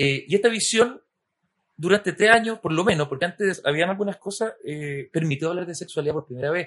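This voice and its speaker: A man's high voice moves at a fairly quick pace. His pitch varies in an ordinary way. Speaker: podcast host. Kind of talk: interview conversation.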